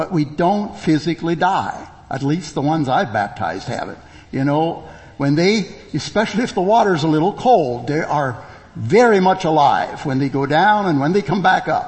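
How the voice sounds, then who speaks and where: A man talks at a moderate pace in a normal speaking voice. His pitch sits fairly high, and his intonation is lively. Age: 60s. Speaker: preacher. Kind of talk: sermon. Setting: church.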